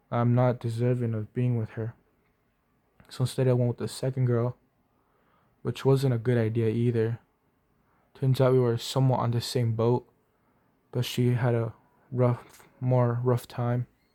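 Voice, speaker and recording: At a moderate pace but with long, frequent pauses, a man speaks in a monotone, flat voice of medium pitch and dark, mellow tone, the sound dry and close with no echo. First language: Spanish. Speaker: vlogger. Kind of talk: personal testimony. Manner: halting.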